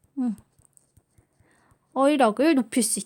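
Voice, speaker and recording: In a relaxed tone, a woman speaks at a high pitch, with a dry, close sound and no echo. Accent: Busan. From South Korea, Busan. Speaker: high school Japanese teacher. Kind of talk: recorded online class orientation. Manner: filler-heavy, relaxed (many 자, 어, 음).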